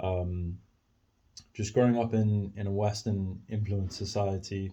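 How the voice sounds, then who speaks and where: A man with a fairly low pitch and a dark, mellow tone speaks at a fairly slow pace in a flat monotone, sounding somewhat breathy. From South Africa, Cape Town. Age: 20s. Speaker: podcaster. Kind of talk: casual monologue. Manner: halting, many fillers.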